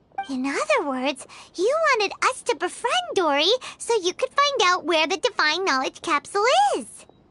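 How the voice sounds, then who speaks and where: The speaker puts on a squeaky character voice at an extremely high pitch. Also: moderate pace. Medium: video game. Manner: direct, quick to react.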